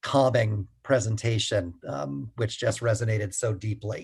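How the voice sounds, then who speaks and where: Over a quiet background, a man with an American accent talks at a medium pitch in a somewhat breathy voice. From United States. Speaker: pastor and climate activist. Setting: video call. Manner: halting.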